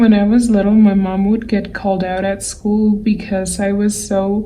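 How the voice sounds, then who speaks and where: A medium-pitched female voice in a monotone, flat delivery, with audible room echo. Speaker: digital artist. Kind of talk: tutorial. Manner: slow.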